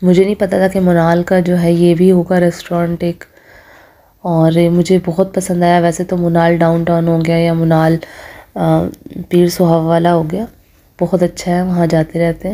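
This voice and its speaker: A woman's fairly low pitch, dark and mellow in tone, in a monotone, flat intonation at a fairly slow pace. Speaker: food vlogger. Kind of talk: casual vlog chat. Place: cafe. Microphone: phone near.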